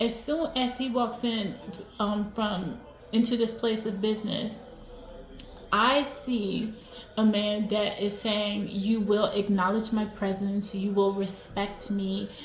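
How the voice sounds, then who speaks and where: Against noticeable background noise and audible room echo, a woman speaks at a very slow pace, with medium pitch and fairly even intonation. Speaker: video commentator. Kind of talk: video analysis monologue. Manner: hesitant, many fillers; loud.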